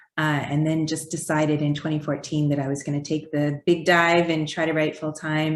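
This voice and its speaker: A woman's very deep, low voice with a slight Canadian accent, a fairly quick pace and monotone, flat intonation. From Canada. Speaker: children's book author. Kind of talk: interview.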